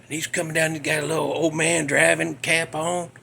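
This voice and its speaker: A man is talking. His speech carries a Southern US accent. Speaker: podcast host. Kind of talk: casual storytelling. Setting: home garage. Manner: less animated than usual.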